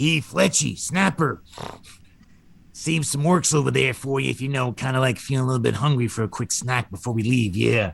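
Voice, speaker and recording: A man speaks in a put-on character voice at medium pitch. His pace is moderate. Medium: actual play. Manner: casual, rambling.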